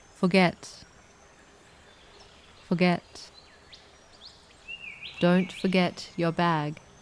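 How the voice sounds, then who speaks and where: A soft-spoken woman with an Australian accent talks at a very slow pace in a calm, flat monotone, her fairly low voice broken by long, frequent pauses. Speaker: English teacher. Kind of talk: English vocabulary lesson read. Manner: slow, calm, soft.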